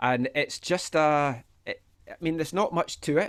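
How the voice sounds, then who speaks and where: A man is talking at a fairly slow pace. He speaks in a Scottish accent. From Scotland, Fife. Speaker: soccer podcaster. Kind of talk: casual chat.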